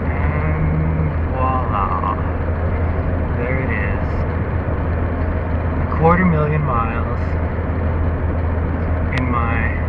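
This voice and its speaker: Loud background noise runs under speech delivered at a very slow pace with long, frequent pauses. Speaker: driver. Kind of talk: casual talk to camera while driving. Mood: mildly excited, amused. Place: car. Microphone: phone near.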